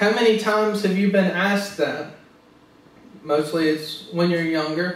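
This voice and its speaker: Noticeable background noise sits behind a voice that moves at a fairly slow pace with ordinary pitch variation. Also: man, high pitch for a man. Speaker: pastor / preacher. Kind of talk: sermon preaching to a congregation.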